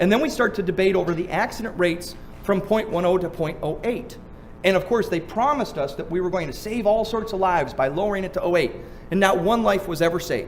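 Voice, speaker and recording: This man talks at a very fast pace in a high pitch, with an animated tone. Audible room echo surrounds his voice. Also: ordinary pitch variation. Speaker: seminar speaker on drunk driving law. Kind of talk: seminar lecture.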